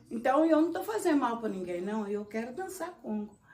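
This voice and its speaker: A woman with a rural Minas Gerais accent speaks with very wide pitch swings. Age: 60s. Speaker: congado dancer, elder of the quilombo. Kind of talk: documentary interview, personal storytelling. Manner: conversational, with some halting restarts.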